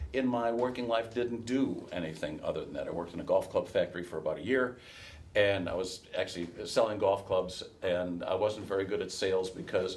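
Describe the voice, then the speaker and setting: A man talks fairly fast while noticeable noise carries on behind him. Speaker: race caller, workshop instructor. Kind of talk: workshop lecture to an audience, casual and anecdotal.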